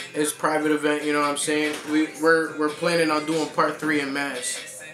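Over clear background music, a man speaks at a moderate pace in a monotone, flat delivery. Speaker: guest. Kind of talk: interview answer. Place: home room.

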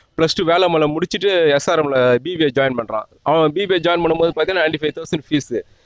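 Pitch that varies in an ordinary way, in a normal speaking voice. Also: man, fairly high pitch for a man. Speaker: parent interviewed on the street. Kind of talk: street interview.

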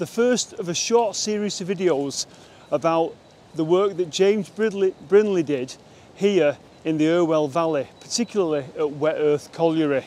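A man speaks in a high voice at a moderate pace. His pitch varies in an ordinary way, and the sound is dry with no echo. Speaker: presenter. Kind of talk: casual vlog chat. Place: waterside.

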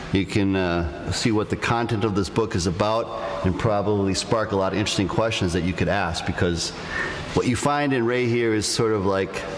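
At a fairly quick pace, a man with a fairly low pitch keeps his loudness very even, with ordinary pitch variation and light background noise. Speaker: host. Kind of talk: live podcast talk to audience. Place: hall. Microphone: studio mic.

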